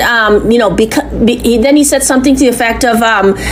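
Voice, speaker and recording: A woman with a high-pitched voice is heard amid noticeable background noise and audible room echo. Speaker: complainant. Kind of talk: recorded phone complaint to police. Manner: halting; loud.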